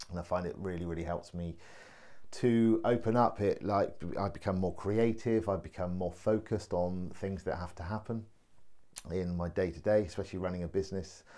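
With an English accent, a man talks at a fairly quick pace in a very deep, low voice with a dark, mellow tone. His intonation is fairly even, and the background is quiet. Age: 40s. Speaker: vlogger and laughter yoga enthusiast; vlogger. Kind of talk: personal video introduction. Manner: hesitant, many fillers. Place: home room. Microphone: phone near.

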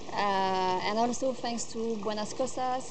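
A woman's fairly high voice with a French accent and ordinary pitch variation, over noticeable background noise. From France. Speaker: volunteer. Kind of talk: testimonial. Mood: calm, warm, grateful. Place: garden.

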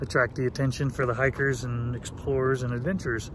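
There is noticeable background noise as a man talks at a moderate pace, the sound dry with no echo. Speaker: travel vlogger. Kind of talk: casual vlog chat. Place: open country. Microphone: phone near.

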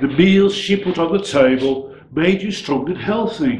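A man talks at a very slow pace amid audible room echo and light background noise. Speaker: poet. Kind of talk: poetry reading. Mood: warm, nostalgic. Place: home room.

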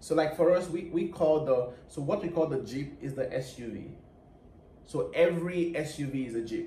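With a Nigerian accent, a man speaks at a moderate pace and fairly high pitch with a dark, mellow tone and ordinary pitch variation, amid light background noise and audible room echo. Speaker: co-host. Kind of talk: casual talk to camera. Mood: cheerful, laughing. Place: home room. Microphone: camera far.

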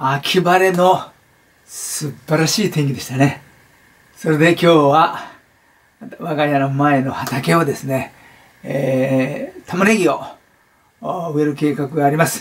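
Speaking at a very slow pace with long, frequent pauses, a man shows ordinary pitch variation. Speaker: motivational speaker. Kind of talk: casual vlog chat. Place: home room. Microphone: camera far.

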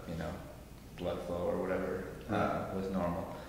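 Strong room echo and light background noise surround a man with a very deep, low voice. He speaks in a flat monotone at a moderate pace. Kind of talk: interview answer. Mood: calm, reflective. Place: home room. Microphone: camera far.

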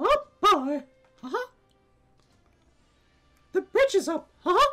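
In a put-on character voice, the speaker goes at a fairly slow pace with extremely high pitch and very wide pitch swings, over faint music in the background. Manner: cheerful cartoon exclamations.

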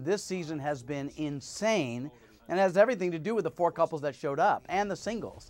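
Against a quiet background, a man speaks at a fairly quick pace with a fairly high pitch and ordinary pitch variation. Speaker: TV host. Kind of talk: interview. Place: studio. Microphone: lapel.

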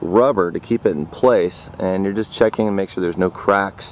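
With light background noise and a dry sound with no echo, a man talks using lively intonation. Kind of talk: tutorial. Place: open country. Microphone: phone near.

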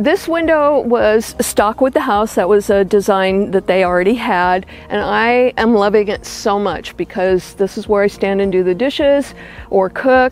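A woman speaks in a dry sound with no echo, faint music in the background. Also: ordinary pitch variation, moderate pace. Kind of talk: home tour explanation. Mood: warm, content. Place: garden.

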